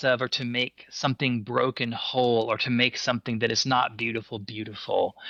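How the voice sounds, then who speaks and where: Recorded dry and close with no echo over a quiet background, a man speaks at a moderate pace in a bright, sharp tone at a medium pitch. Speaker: poet. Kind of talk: interview answer.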